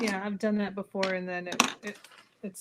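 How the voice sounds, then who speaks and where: Soft-spoken, a woman at medium pitch talks in a monotone, flat intonation. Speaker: sewing and bag-making co-host. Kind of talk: casual chat during live sewing tutorial. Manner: calm, soft-spoken.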